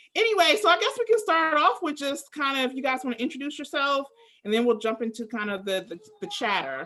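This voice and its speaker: A woman with an American accent speaks very fast in a raised, projected voice, high in pitch and swinging very widely. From US, Maryland, Prince George's County. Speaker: language school host. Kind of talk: casual chat.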